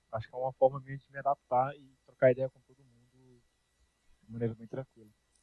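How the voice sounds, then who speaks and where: A man talks at a very fast pace in a medium pitch, his intonation monotone and flat. His loudness swings widely. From Brazil, Brasília. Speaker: programming teacher. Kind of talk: online class. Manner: casual.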